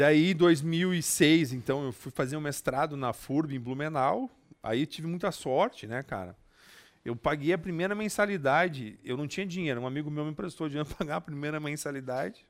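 A man with a normal speaking voice talks at a moderate pace and a fairly high pitch, with ordinary pitch variation. The recording is very clean, with a silent background. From southern Brazil, Passo Fundo. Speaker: public administration specialist. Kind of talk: casual interview. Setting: studio.

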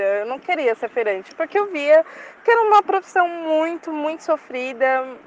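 Noticeable background noise runs behind a woman whose pitch swings very widely. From São Paulo east side, Brazil. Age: 20s. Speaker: university student. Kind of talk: recorded testimony.

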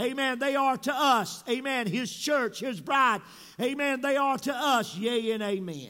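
A man's raised, projected voice at an extremely high pitch, animated and bright, sharp in tone, with ordinary pitch variation, a fairly slow pace and audible room echo. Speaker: pastor. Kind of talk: sermon. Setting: church. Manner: animated, frequent interjections.

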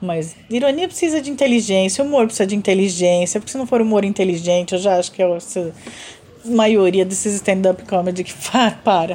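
A woman talks at a moderate pace in a normal speaking voice. Her pitch is medium. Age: 40s. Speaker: podcast co-host and artist. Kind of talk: casual chat.

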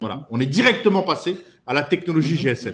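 A man's fairly high-pitched voice carries lively intonation. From France. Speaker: startup CEO. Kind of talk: interview. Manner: halting.

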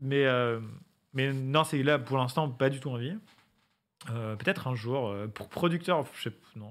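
On a very clean recording with a silent background, a man speaks at a very slow pace and medium pitch, with ordinary pitch variation, big swings in loudness and long, frequent pauses. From western France, Angers area. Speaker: YouTuber. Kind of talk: casual chat.

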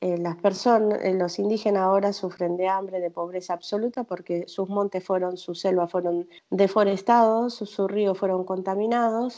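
Against a quiet background, a woman with a dark, mellow tone speaks at a moderate pace and medium pitch with a monotone, flat intonation. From Argentina, Misiones. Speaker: chef. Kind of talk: interview.

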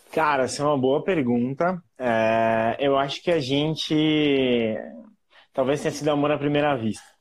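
This man has an unremarkable speaking voice, pitched fairly high. He talks at a fairly slow pace with fairly even intonation and very even loudness. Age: 30s. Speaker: marketing professional. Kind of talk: casual interview.

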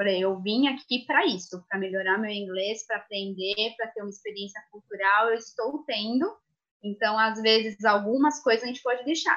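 A woman uses an ordinary speaking voice, fairly high in pitch, at a moderate speed, her pitch moving in a typical way. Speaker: former au pair. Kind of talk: live stream panel talk.

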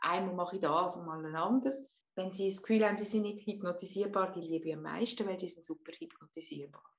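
Woman at medium pitch, very fast pace, ordinary pitch variation, and big swings in loudness. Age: 50s. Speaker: hypnotherapist. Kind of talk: interview.

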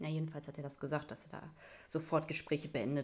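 Vocal fry runs through a woman's very deep, low pitch. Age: 30s. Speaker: podcast host. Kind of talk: casual solo monologue. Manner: casual, filler-heavy.

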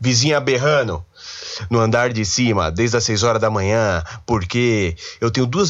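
In a São Paulo accent, a man speaks with lively intonation. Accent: Paulistano Brazilian Portuguese. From São Paulo, Brazil. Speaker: podcast host, university student. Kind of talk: casual solo monologue. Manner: animated.

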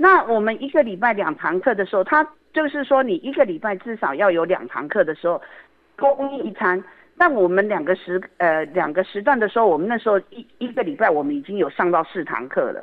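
A woman talks at a fairly quick pace in a medium pitch, her voice moving in very wide pitch swings. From Taiwan, Yilan. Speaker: community association director. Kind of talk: radio interview.

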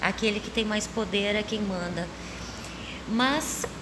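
With audible room echo and noticeable background noise, a woman speaks fairly slowly at a fairly high pitch. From southern Brazil, Porto Alegre. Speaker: stage actress. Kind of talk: interview. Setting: theater stage.

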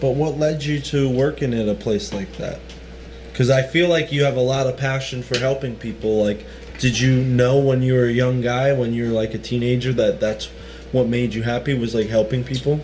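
Against noticeable background noise, a man speaks fairly quickly in a medium pitch with fairly even intonation. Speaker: podcast host. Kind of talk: casual chat.

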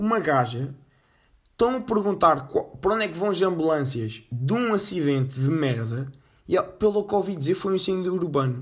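At a moderate pace, a man speaks in a high pitch that makes very wide swings. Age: 20s. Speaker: podcast host. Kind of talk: casual solo monologue. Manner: casual, slangy with fillers.

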